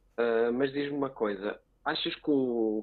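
This speaker has a European Portuguese accent and fairly even intonation. The pace is fairly slow. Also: man. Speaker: podcast co-host. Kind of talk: interview.

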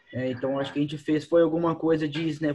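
A man's fairly high-pitched voice. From Minas Gerais, Brazil. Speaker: CrossFit coach. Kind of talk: casual chat.

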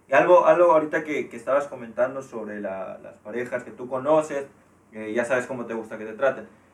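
At a fairly quick pace, a man of medium pitch talks with ordinary pitch variation. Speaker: podcast co-host. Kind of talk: casual chat.

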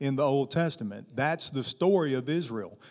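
A man's fairly high, dark, mellow voice in a Southern US accent, with ordinary pitch variation. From US South, Arkansas. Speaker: guest pastor. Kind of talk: sermon. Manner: animated.

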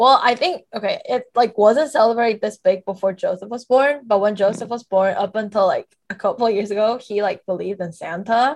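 A woman with a normal speaking voice, fairly high-pitched, fairly quick with hardly any pauses, and ordinary pitch variation. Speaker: podcast co-host. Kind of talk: casual chat.

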